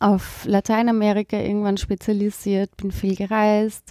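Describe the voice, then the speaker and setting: A woman with a medium pitch and a dark, mellow tone speaks at a fairly slow pace. The recording is very clean with a silent background and a dry, close sound with no echo. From Austria, East Tyrol. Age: 30s. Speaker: social worker. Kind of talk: interview. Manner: hesitant, many fillers.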